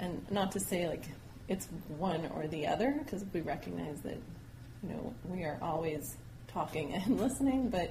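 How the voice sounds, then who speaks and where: A woman's fairly low voice with an American accent at a moderate pace, with audible room echo and noticeable background noise. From New Mexico, US. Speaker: education professor. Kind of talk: interview.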